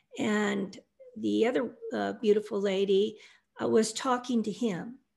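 With an American accent and vocal fry, this speaker goes at a fairly slow pace with fairly even intonation. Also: woman. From US Midwest (Iowa). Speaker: near-death experiencer, author. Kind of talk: interview testimony.

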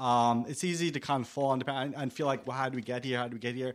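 A man with a New York accent at a fairly quick pace, on a very clean recording with a silent background. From New York, Staten Island. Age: 40s. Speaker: radio host. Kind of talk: casual chat. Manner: halting.

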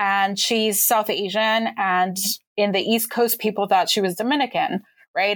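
Medium pitch from a woman with a Californian accent, at a moderate pace. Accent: Californian American. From suburban Los Angeles. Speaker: history professor and author. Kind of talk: interview.

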